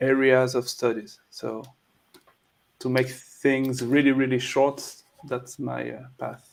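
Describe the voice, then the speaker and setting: Speaking very slowly in a flat monotone at a medium pitch, a man leaves long, frequent pauses, and his loudness swings widely. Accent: French. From France. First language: French. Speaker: documentary filmmaker. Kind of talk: interview. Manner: halting.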